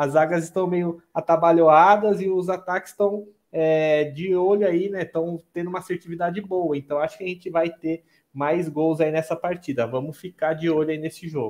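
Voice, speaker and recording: The speaker keeps a moderate pace. Intonation stays fairly even. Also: man, high pitch for a man. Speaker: betting analyst co-commentator. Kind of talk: live sports commentary and analysis. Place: home room.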